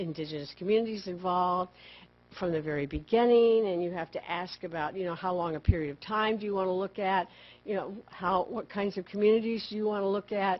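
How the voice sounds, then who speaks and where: A fairly quick, medium-pitched female voice with ordinary pitch variation. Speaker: park service program manager. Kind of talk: conference presentation. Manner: loud; fast.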